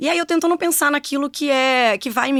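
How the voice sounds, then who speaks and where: A woman in a Rio de Janeiro accent at a fairly quick pace. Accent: carioca. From Rio de Janeiro, Brazil. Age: 40s. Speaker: engineer and former corporate executive, now mentor. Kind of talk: podcast interview.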